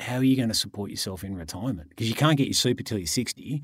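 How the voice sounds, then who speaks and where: On a very clean recording with a silent background, a man with an Australian accent speaks at medium pitch with lively intonation. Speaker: podcast co-host, property investor and author. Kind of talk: casual chat.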